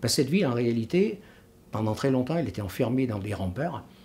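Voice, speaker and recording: A man speaks at a medium pitch with lively intonation. His voice is somewhat breathy, with a dark, mellow tone. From France, Vienne (Isère). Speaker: retired local historian and author. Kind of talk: interview. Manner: hesitant, many filler sounds.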